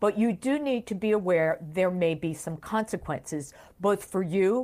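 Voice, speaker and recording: A plain, everyday voice speaks at a moderate pace with lively intonation in a very clean recording with a silent background. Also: woman. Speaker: retirement benefits expert. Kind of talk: interview.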